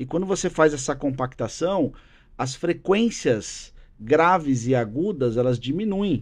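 A man talks fairly slowly, his intonation lively throughout. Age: 40s. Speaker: business executive and drummer; podcast guest. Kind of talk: casual interview chat. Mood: relaxed, conversational. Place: studio. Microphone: studio mic.

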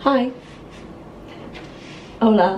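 A woman's fairly high voice at a very slow pace, with ordinary pitch variation and faint background noise

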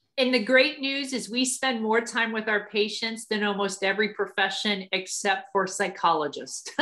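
A woman with an American accent speaks at a moderate pace with hardly any pauses, her pitch fairly high. Noticeable background noise runs underneath. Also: ordinary pitch variation. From Ohio, US Midwest. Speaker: army officer and physical therapist. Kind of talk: talk to students.

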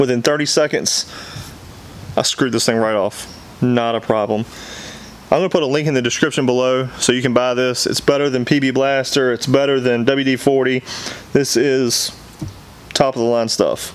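A man speaks at a moderate pace with fairly even intonation and long, frequent pauses. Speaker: plumbing parts seller. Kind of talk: tutorial. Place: workshop.

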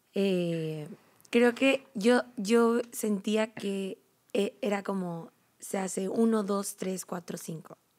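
Very slowly and with ordinary pitch variation, a woman talks against a quiet background. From Mexico, Uruapan, Michoacán; Michoacán, Mexico. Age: 20s. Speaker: program graduate, church volunteer; podcast guest. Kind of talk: casual chat. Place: hall. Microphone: studio mic.

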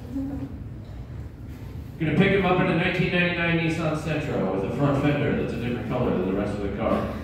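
Through noticeable background noise and strong room echo, a man speaks at a moderate pace with hardly any pauses. His fairly high voice swings very widely in pitch. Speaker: stand-up comedian. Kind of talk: raunchy self-deprecating stand-up set. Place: stage.

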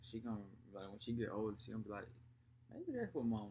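A somewhat breathy man's voice with a dark, mellow tone over light background noise. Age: 20s. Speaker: vlogger, father. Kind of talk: casual chat. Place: home room. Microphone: webcam.

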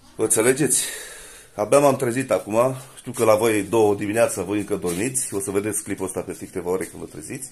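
With a fairly low pitch and ordinary pitch variation, a man speaks at a very fast pace, his loudness swinging widely. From Romania. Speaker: vlogger. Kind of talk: casual house tour vlog. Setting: at home. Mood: defensive, mocking.

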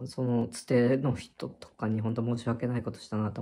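This man's voice has a dark, mellow tone, somewhat breathy, with monotone, flat intonation. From Japan. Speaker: vlogger. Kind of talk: casual monologue recounting personal experience. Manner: rambling, conversational, halting with fillers. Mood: reflective, slightly apologetic. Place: home room. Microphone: phone near.

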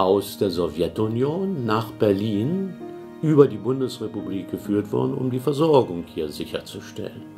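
Over clear music in the background, a man speaks at a fairly slow pace in a fairly low voice. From Berlin, Germany. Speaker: former mayor of Berlin, politician. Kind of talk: interview answer. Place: office.

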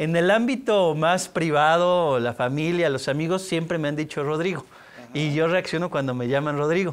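This is a man talking at a moderate pace. His pitch varies in an ordinary way. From Mexico City. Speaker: public institution head; interviewee. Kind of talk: interview. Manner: halting. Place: studio. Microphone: lapel.

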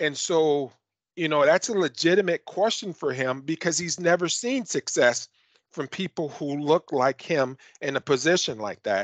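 Over a quiet background, a man talks at a moderate pace in a fairly high voice, the sound dry with no echo. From US Midwest. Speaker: county government official. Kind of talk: panel discussion. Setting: video call. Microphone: video call.

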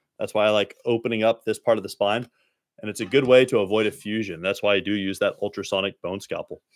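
A man with a fairly low pitch and a Texan accent speaks at a very fast pace with fairly even intonation, in a dry sound with no echo and a quiet background. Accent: Texan American. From Dallas, Texas; Texas. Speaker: spine surgeon. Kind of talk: live-stream Q&A. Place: home room. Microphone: studio mic.

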